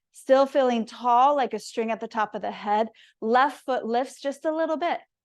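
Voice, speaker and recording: Against a quiet background, a woman with a plain, everyday voice speaks at a moderate pace with ordinary pitch variation. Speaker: yoga and mindfulness teacher. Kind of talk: guided yoga instruction. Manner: calm, instructional.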